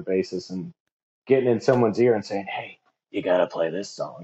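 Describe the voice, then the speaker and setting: A man with a Midwestern US accent, medium pitch and a fairly quick pace. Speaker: DJ. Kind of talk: casual interview chat.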